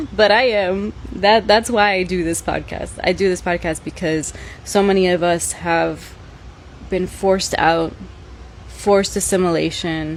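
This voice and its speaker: Noticeable background noise runs through the clip. The talking is fairly slow. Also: woman. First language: Spanish. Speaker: podcast host. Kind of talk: casual monologue. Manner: animated.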